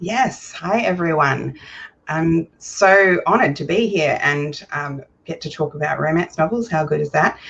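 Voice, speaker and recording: In an Australian accent, a woman with a fairly low pitch talks at a fairly slow pace with ordinary pitch variation. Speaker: romance author. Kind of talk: casual chat.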